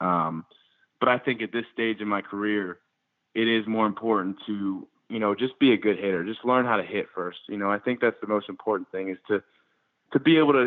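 A man with an American accent and a normal speaking voice talks at a fairly quick pace and fairly low pitch, keeping his intonation fairly even. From Baltimore and Winston-Salem, US. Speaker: baseball prospect. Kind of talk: interview.

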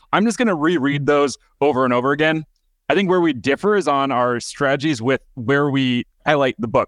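An unremarkable speaking voice from a man, fairly high and fairly quick, with ordinary pitch variation, a quiet background and a dry, close sound with no echo. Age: 30s. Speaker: podcast host. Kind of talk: interview. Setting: podcast interview.

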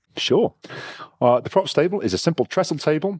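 A man with an English accent, playful in tone, at a moderate pace, with a dry, close sound and no echo. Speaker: game master host. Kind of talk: comedic puzzle game narration. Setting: online call.

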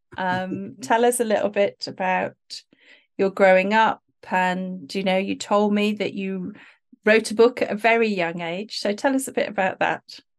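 An ordinary speaking voice from a woman at medium pitch, moderate in pace and fairly even in intonation, against a quiet background. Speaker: podcast host. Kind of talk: casual interview chat. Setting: video call.

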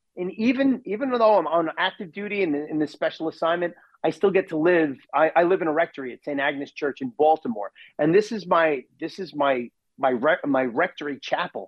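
With a normal speaking voice, this man talks at a fairly quick pace, fairly high in pitch, his intonation lively. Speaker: priest. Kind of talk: interview, advice on Lent.

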